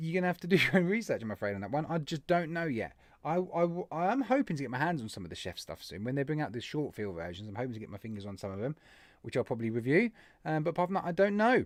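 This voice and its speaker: In an English accent, this voice races at a very fast pace with very wide pitch swings and big swings in loudness, on a very clean recording with a silent background. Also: man, fairly high pitch for a man. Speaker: vape channel live stream host. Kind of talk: live stream chat reading viewer comments.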